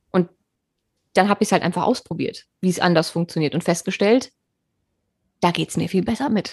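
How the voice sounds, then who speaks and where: Somewhat breathy speech at a fairly quick pace, broken by long, frequent pauses, with ordinary pitch variation and a dry, close sound without echo. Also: woman, medium pitch for a woman. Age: 30s. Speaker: podcast host. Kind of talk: casual chat. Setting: video call.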